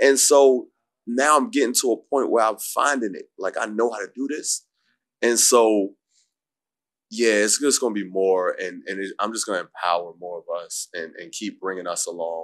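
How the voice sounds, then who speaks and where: His loudness swinging widely, a man talks at a moderate pace. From New York, Harlem. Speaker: filmmaker. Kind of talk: interview conversation.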